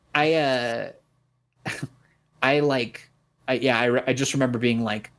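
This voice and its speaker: A man speaks at a medium pitch in a monotone, flat way. His loudness stays very even. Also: fairly slow pace. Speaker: rapper. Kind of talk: casual chat. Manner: words run together, mumbles.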